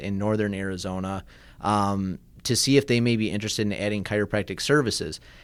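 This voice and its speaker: With a slight Midwestern accent, a man speaks at a fairly quick pace and a fairly low pitch, his intonation fairly even, in a very clean recording with a silent background. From US Midwest, Michigan. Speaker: chiropractor. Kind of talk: radio interview. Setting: radio studio.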